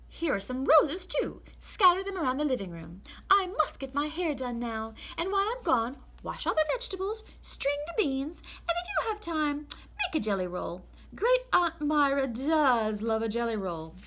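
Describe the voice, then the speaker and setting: A woman puts on a character voice, high in pitch, and speaks at a moderate pace. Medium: read story. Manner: brisk, hurried.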